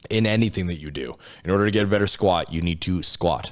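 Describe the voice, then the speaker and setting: A man talks at a very fast pace with ordinary pitch variation, on a very clean recording with a silent background. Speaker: motivational speaker and coach. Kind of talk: podcast interview. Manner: casual, profane, direct; some stuttering and filler pauses.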